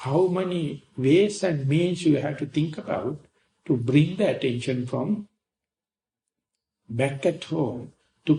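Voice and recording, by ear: With vocal fry and a dark, mellow tone, a man at a fairly high pitch talks at a fairly slow pace.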